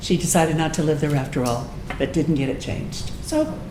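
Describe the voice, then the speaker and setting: The voice moves at a moderate pace with lively intonation, amid audible room echo and noticeable background noise. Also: woman. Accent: American. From Texas, Austin. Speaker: political club speaker, retired music teacher. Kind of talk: informal talk to local club with discussion.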